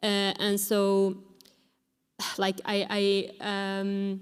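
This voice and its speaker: A medium-pitched woman's voice with a Sámi accent on a very clean recording with a silent background. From Finland (Sámi). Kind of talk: panel discussion. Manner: hesitant, many fillers.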